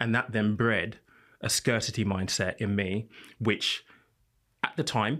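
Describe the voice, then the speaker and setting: On a very clean recording with a silent background, a man with a British accent talks at a fairly slow pace and a fairly low pitch with ordinary pitch variation. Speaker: financial content creator and podcast host. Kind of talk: panel discussion.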